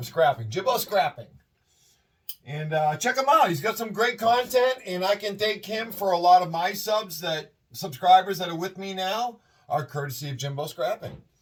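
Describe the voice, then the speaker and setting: Moderately paced, lively speech from a man with a high pitch. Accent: Boston. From Massachusetts, Worcester County. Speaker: scrap metal collector and video creator. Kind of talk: casual tutorial vlog. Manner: casual, rambling with fillers.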